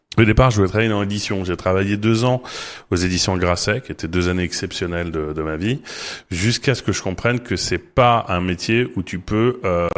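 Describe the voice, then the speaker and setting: A man at a fairly quick pace, fairly low in pitch with ordinary pitch variation, on a very clean recording with a silent background. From Paris, France. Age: 40s. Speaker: marketing executive. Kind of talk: podcast interview. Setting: studio. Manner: halting, many repetitions and fillers.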